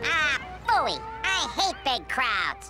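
Cartoonish character voice with a bright, sharp tone, very wide pitch swings and a slow pace, faint music in the background

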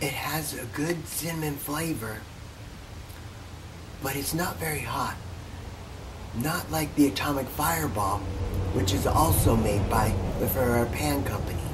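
Noticeable background noise runs under a man speaking at a moderate pace. His pitch swings very widely, and he takes long, frequent pauses. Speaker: candy store owner and candy review channel host. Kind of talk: ASMR-style whispered candy information. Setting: recorded beside a busy road. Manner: whispered, soft. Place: shop. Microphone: phone near.

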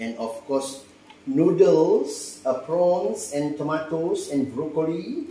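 Speaking slowly with lively intonation, a man with a fairly high pitch and a dark, mellow tone is heard amid audible room echo.

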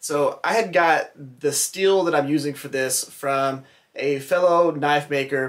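A man's voice, with ordinary pitch movement, is heard in a quiet setting. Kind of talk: casual vlog chat. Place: workshop. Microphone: phone near.

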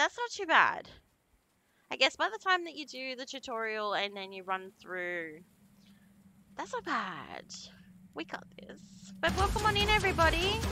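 This woman has an Australian accent. She delivers her words fairly slowly. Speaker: horror game streamer. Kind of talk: live game stream chat. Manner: animated.

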